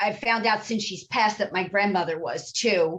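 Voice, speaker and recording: Spoken in an East Coast US accent, the voice shows ordinary pitch variation. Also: woman. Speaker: psychic medium. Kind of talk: interview.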